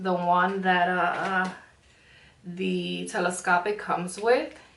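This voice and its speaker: A woman with a Spanish accent at a medium pitch, with noticeable background noise and audible room echo. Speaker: beauty vlogger. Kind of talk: makeup tutorial. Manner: frequent um fillers and pauses; casual, chatty.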